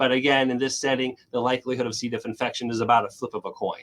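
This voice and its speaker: A man at medium pitch comes through with a dry, close sound and no echo. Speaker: physician researcher. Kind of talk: lecture. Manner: fast.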